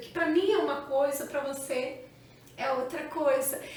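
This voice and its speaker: Audible room echo surrounds a woman speaking. She talks at a fairly slow pace with ordinary pitch variation. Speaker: channel co-host. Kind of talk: casual chat.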